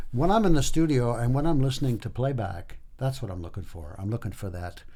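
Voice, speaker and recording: A somewhat breathy voice with a dark, mellow tone and audible room echo. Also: man. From Quebec, Hull (Gatineau). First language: French. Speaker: singer-songwriter. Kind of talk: interview. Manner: halting.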